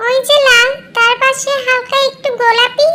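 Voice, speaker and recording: A squeaky, cartoonish character voice at an extremely high pitch, monotone and flat, at a moderate pace with music in the background. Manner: argumentative, cheeky.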